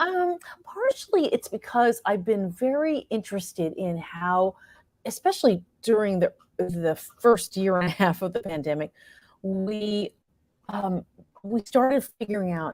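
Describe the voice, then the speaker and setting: Captured dry and close with no echo, a woman with an American accent and a normal speaking voice talks fairly slowly at a medium pitch with lively intonation. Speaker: actress and playwright. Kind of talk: interview answer.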